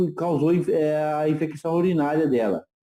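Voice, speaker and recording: A man with a high pitch has a dark, mellow tone. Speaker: participant asking a question. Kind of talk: Q&A question. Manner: fast.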